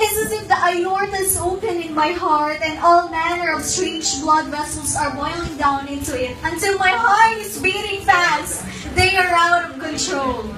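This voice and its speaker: A woman with an extremely high pitch uses a raised, projected voice at a moderate pace with hardly any pauses and ordinary pitch variation, over noticeable background noise. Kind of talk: spoken word poetry performance.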